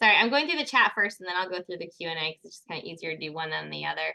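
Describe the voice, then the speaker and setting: A woman speaks in a bright, sharp tone with lively intonation. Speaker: ecologist giving a research talk. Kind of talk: virtual talk with audience Q&A. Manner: fast.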